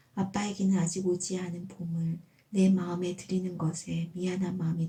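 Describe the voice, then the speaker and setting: The voice is somewhat breathy with a dark, mellow tone, fairly even intonation and a fairly slow pace. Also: woman. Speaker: amateur writer reading own essay. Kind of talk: personal essay audiobook reading. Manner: calm, gentle.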